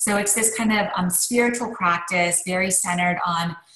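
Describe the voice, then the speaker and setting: Audible room echo surrounds a woman who speaks at a moderate pace with a fairly low pitch. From Canada, Montreal. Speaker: author and lecturer; lecturer. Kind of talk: interview conversation. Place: home room. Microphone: video call.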